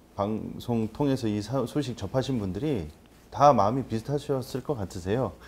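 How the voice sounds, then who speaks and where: Over light background noise, a man at a medium pitch speaks at a moderate pace with very wide pitch swings. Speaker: pastor. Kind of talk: panel discussion. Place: studio. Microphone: lapel.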